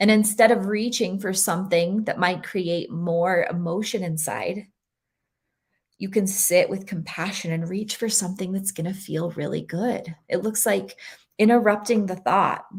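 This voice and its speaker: Somewhat breathy, a woman speaks at a moderate pace and medium pitch. The recording is very clean, with a silent background. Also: fairly even intonation. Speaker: energy healing speaker. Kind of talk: presentation talk.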